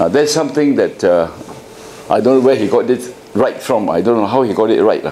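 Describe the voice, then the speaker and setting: Speech comes at a fairly quick pace with very even loudness, audible room echo and noticeable background noise. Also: man. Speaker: architect. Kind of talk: lecture. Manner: halting.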